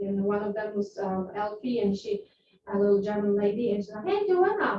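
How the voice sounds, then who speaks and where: A woman with a Polish accent speaks at a moderate pace. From Poland. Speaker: real estate agent. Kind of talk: interview. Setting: class with agents.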